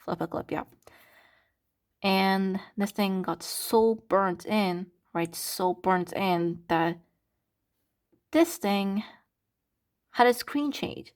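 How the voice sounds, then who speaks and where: Very slowly and with long, frequent pauses, a woman speaks at a medium pitch with ordinary pitch variation on a very clean recording with a silent background. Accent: Turkish. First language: Turkish. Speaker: content creator. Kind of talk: casual vlog. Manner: animated.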